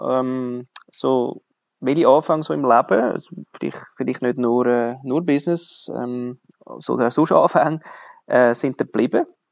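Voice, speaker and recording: In a Swiss German accent, a man of medium pitch speaks at a fairly slow pace with ordinary pitch variation. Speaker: podcast host. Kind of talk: interview.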